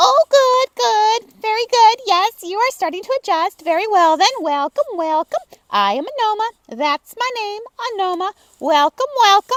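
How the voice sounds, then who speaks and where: Pitched extremely high, a put-on character voice goes at a moderate pace. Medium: read story. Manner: fussy, repeats himself.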